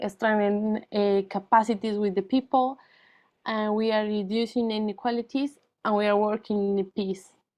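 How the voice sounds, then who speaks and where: A woman speaks with a fairly high pitch in a flat monotone. The background is quiet. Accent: Spanish. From Colombia. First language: Spanish. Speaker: NGO founder and former teacher. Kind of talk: presentation. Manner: halting, many fillers.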